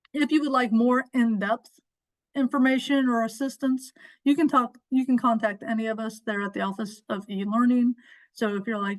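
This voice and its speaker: Speaking at a moderate pace over a quiet background, a woman uses a normal speaking voice with a fairly high pitch. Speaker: instructional designer. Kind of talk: webinar training session.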